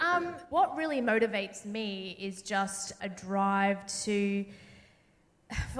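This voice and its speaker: A woman with an Australian accent and lively intonation, amid noticeable background noise. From Sydney, Australia. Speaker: journalist and TV presenter. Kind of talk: panel conversation on stage. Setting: theatre stage with live audience.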